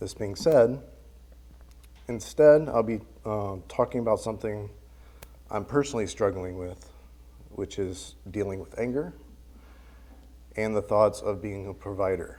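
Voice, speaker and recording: Soft-spoken and fairly slow, a man talks at a fairly low pitch with a dark, mellow tone, ordinary pitch variation, big swings in loudness, long, frequent pauses, and audible room echo. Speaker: church member giving a lesson. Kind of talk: sermon. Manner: halting.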